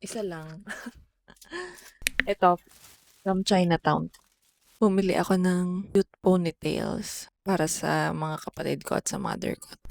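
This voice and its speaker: Soft-spoken and fairly slow, a woman talks with long, frequent pauses and big swings in loudness, in a dry, close sound with no echo. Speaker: travel vlogger. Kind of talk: casual travel vlog.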